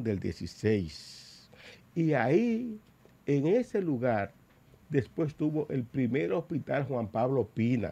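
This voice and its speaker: Moving at a very slow pace, a man's voice carries a dark, mellow tone. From Dominican Republic. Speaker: politician. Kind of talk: talk show interview. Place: studio. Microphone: studio mic.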